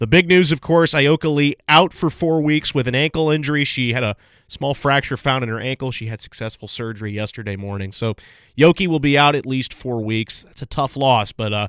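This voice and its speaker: In a very clean recording with a silent background and a dry, close sound with no echo, a man with an ordinary speaking voice talks at a fairly quick pace, medium in pitch with ordinary pitch variation. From Chicago. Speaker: radio sports host. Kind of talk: radio sports show talk.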